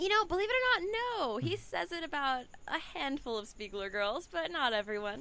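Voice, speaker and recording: A woman's raised, projected voice with an American accent, high pitch, very wide pitch swings and a moderate pace, over noticeable background noise. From Houston, Texas. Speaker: adult film performer. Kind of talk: casual chat.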